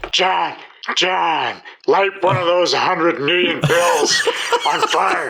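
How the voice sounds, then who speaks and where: A man puts on a character voice with a high pitch. He speaks at a very slow pace with very even loudness. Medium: actual play. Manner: eager, chatty.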